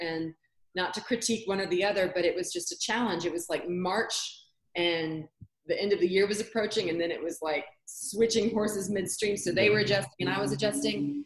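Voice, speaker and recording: A plain, everyday voice, with ordinary pitch variation and a fairly quick pace. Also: woman, medium pitch for a woman. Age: 40s. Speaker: English teacher and educator coach. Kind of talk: casual interview chat.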